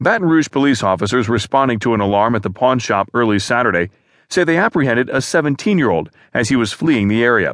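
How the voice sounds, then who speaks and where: Against a quiet background with a dry, close sound and no echo, a man speaks in a plain, everyday voice at a medium pitch, fairly quickly and with lively intonation. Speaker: audiobook news narrator. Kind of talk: formal newsreading, scripted narration of newspaper articles. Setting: studio. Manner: formal, measured and even, neutral news-anchor delivery.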